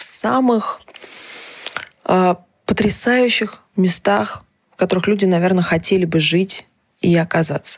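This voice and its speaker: With lively intonation, a woman of medium pitch speaks at a fairly slow pace. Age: 20s. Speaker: journalist and podcast host. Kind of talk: personal monologue column. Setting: home recording in small apartment.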